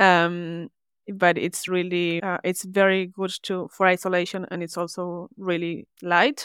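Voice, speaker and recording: A woman's fairly low voice moves fairly slowly, her intonation monotone and flat. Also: dry, close sound with no echo. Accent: Spanish. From Argentina. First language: Spanish. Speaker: service designer. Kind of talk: interview.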